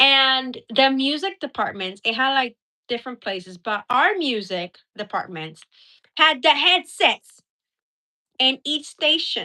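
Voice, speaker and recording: Raised and projected, the voice is animated and bright, with a sharp tone and very wide pitch swings. It moves at a fairly slow pace, with a dry, close sound, no echo and a quiet background. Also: woman. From Puerto Rico and US Northeast. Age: 40s. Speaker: YouTuber, homesteader. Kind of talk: casual live stream chat. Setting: home office.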